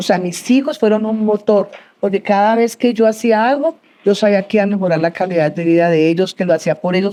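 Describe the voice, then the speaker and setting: Ordinary pitch variation at a fairly quick pace. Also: woman. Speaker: entrepreneur, business founder. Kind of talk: interview before live audience. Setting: university auditorium with audience. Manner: fast.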